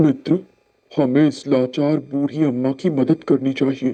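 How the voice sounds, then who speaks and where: A man uses a cartoonish character voice, fairly high-pitched, with very even loudness, monotone, flat intonation and a fairly slow pace. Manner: gentle, polite.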